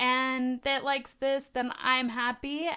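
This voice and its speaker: A woman speaks in a high voice. Her tone is animated. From Southern California, LA County. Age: 20s. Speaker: podcaster. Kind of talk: solo monologue podcast. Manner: animated, laughing often.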